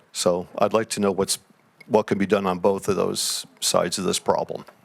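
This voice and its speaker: With an American accent, the speaker keeps a monotone, flat intonation at a moderate pace. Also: man. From Connecticut, Cos Cob. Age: 70s. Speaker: audience member asking a question. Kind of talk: public question at town hall. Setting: town hall meeting with audience.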